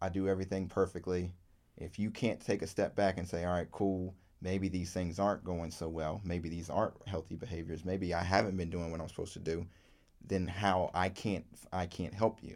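A man with an American accent talks at a fairly quick pace in a very deep, low voice, his intonation monotone and flat. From Virginia, US South. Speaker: podcast co-host. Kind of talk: casual chat.

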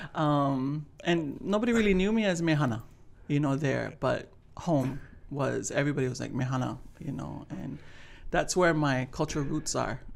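A woman with vocal fry and a very deep, low pitch talks at a moderate pace with ordinary pitch variation. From Hawaii, Honolulu (Palolo Valley). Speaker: cultural practitioner. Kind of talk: interview.

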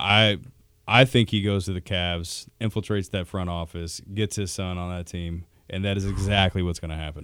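Very deep, low pitch from a man speaking at a moderate pace. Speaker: guest, fill-in panelist. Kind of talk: casual sports chat.

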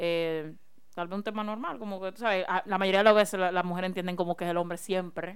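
On a very clean recording with a silent background, a woman talks very fast at a medium pitch with fairly even intonation. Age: 20s. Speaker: podcast co-host. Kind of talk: casual chat.

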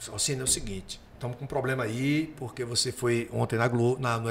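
A man talks at a very fast pace with a medium pitch. Noticeable background noise runs underneath. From Paraíba, Brazilian Northeast. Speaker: comedian. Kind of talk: casual chat.

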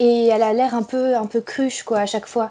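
With fairly even intonation, a woman talks at a fairly high pitch. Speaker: university student, listener guest. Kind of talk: casual chat. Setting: Skype call. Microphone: poor Skype recording audio.

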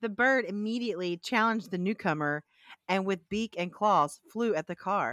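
In a very clean recording with a silent background and a dry, close sound with no echo, a woman with a Southern US accent speaks at a moderate pace. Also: medium pitch for a woman, ordinary pitch variation. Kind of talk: casual chat.

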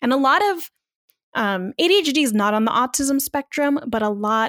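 A very clean recording with a silent background, with a Californian accent and ordinary pitch variation. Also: woman, dry, close sound with no echo. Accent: Californian American English. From US West Coast, Long Beach, California. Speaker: podcaster and entrepreneur. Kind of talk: casual interview.

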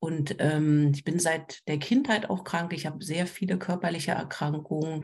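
A woman's very deep, low voice, somewhat breathy, with a dark, mellow tone. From Berlin. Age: 40s. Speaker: trauma counselor and social worker. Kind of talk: casual chat.

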